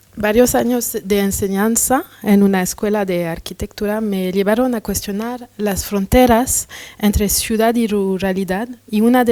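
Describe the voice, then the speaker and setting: Speaking at a fairly slow pace with a non-native accent, a woman keeps a medium pitch and fairly even intonation. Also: hardly any pauses. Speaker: curator and researcher. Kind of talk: lecture read from a text. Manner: halting, with hesitations.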